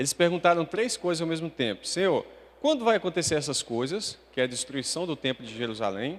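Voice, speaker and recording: Vocal fry runs through a man's fairly high voice. He speaks at a fairly quick pace with very wide pitch swings. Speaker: preacher. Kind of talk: sermon.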